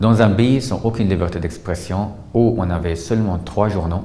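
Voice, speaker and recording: A man's fairly quick speech with ordinary pitch variation over noticeable background noise. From Syria. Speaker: journalist. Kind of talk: testimony interview answer.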